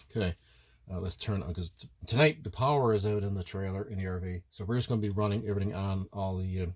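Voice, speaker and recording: The recording is very clean, with a silent background. A man with a fairly low, somewhat breathy voice speaks very fast, his pitch varying in an ordinary way. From Ireland. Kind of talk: casual product review to camera.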